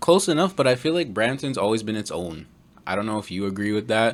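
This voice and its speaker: Lively intonation from a fairly low-voiced man with a Toronto accent, at a fairly quick pace. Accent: Canadian English (Greater Toronto Area). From Ontario, Canada (Mississauga). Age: 20s. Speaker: podcast host. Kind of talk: casual chat.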